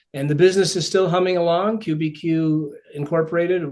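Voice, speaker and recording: A man with a fairly high pitch and an upstate New York accent. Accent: American (upstate New York). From upstate New York (Ithaca). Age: 60s. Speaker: author and speaker. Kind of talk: podcast interview. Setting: podcast recording.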